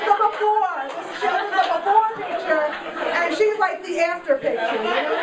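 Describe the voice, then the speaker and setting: With crowd noise in the background and audible room echo, a woman with an American accent speaks at a moderate pace. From Queens, New York. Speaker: stand-up comedian. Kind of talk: stand-up. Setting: stage with audience.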